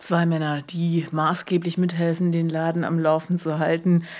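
In a dark, mellow tone, a woman talks with a fairly low pitch. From Berlin. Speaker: podcast co-host. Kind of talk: casual chat.

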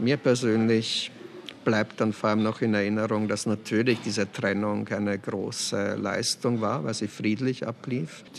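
This man's voice sits fairly low in pitch. His intonation stays fairly even. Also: fairly slow pace. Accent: Austrian. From Austria, Weinviertel (Lower Austria). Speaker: novelist and poet. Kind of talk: interview. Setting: café.

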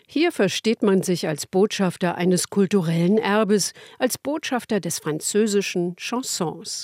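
A woman talks in a plain, everyday voice at a medium pitch with ordinary pitch variation and a fairly slow pace. The recording is very clean with a silent background and a dry, close sound with no echo. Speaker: radio host. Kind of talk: scripted narration. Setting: studio.

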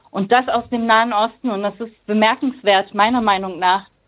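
A woman with a plain, everyday voice, fairly high pitch, fairly even intonation and a moderate pace. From Germany. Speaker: teacher. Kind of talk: casual chat.

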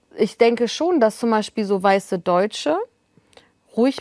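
A woman speaks in a dry, close sound with no echo. The recording is very clean, with a silent background. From northern Germany. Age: 20s. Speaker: journalist and author. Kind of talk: casual chat.

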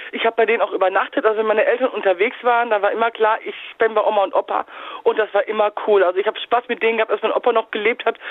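A woman speaks at a very fast pace with a fairly high pitch. Her intonation is fairly even, and noticeable background noise runs underneath. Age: 30s. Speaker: caller. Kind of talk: phone-in storytelling.

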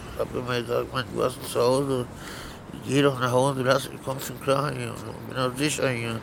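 With noticeable background noise and audible room echo, a man of medium pitch speaks at a moderate pace in a monotone, flat intonation. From Berlin. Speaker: homeless man. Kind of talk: casual chat. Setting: underground train station. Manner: halting.

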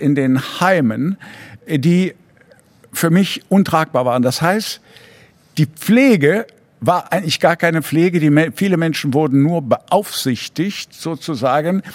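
A high-pitched man at a very slow pace, with lively intonation and very even loudness. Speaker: physician. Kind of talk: interview. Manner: hesitant, many fillers.

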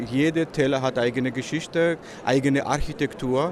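Noticeable background noise runs under a man speaking with a Georgian accent. His pitch is fairly high, his intonation fairly even, and his pace moderate. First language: Georgian (speaking German). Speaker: tour operator. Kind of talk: interview.

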